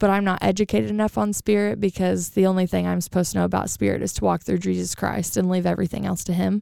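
A woman's fast-paced voice with vocal fry, a dark, mellow tone and little pitch movement. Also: medium pitch for a woman, dry, close sound with no echo.

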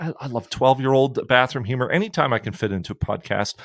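At a very fast pace, a man talks at medium pitch in a dry, close sound with no echo. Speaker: podcast host. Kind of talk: casual interview, joking. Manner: jokey, rambling, halting.

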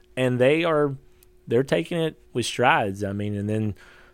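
A man speaks with a Kentucky accent. The recording is very clean, with a silent background. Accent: Kentucky Southern. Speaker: homesteader and social media creator. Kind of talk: casual interview chat.

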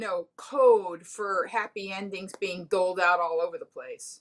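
A woman speaks at a fairly slow pace in a normal speaking voice. Her pitch variation is ordinary. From Miami, Florida. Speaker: comedian. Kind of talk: casual chat.

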